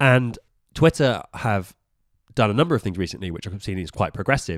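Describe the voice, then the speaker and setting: With a British accent, a man speaks at a very fast pace in a fairly low pitch, captured in a very clean recording with a silent background. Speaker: podcast co-host. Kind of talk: casual chat.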